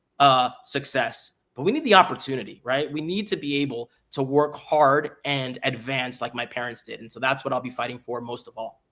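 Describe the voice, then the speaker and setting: A man's medium-pitched voice with an American accent, bright and sharp in tone, at a moderate pace with hardly any pauses, ordinary pitch variation and big swings in loudness. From South Florida (Hialeah, Miami area). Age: 30s. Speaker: congressional candidate. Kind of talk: political interview. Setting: live stream.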